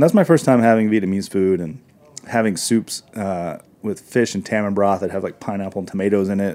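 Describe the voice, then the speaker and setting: Dark and mellow in tone, a man with an American accent speaks at a fairly low pitch. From US South, northern Arkansas. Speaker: chef and restaurateur. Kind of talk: interview. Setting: studio.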